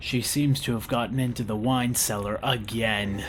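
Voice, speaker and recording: Background noise can clearly be heard. Over it, a man puts on a character voice. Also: medium pitch for a man, moderate pace. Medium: audio drama. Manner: deferential, formal.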